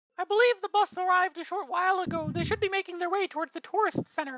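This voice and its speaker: A squeaky, put-on character voice with an extremely high pitch races along at a very fast pace. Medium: actual play.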